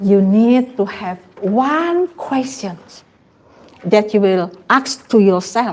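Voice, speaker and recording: A woman speaks at a very slow pace. Her voice is fairly high, with ordinary pitch variation. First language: not English. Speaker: trainer. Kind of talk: training workshop presentation.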